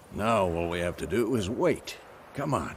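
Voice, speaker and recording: Putting on a gruff character voice, a man speaks at a moderate pace with a fairly low pitch and lively intonation. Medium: video game. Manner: gruff, dryly teasing.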